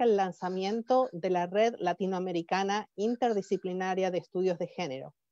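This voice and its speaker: The sound is dry and close, with no echo. A woman speaks at medium pitch with fairly even intonation. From Argentina. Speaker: professor and conference organizer. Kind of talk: conference welcome speech. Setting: webinar. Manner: halting, with fillers and restarts.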